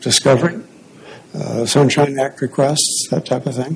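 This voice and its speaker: Quietly, a man speaks at a medium pitch through noticeable background noise. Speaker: attorney arguing appeal. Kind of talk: courtroom oral argument. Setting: courtroom at podium. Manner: too quiet; hesitant, many fillers. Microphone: too far from mic.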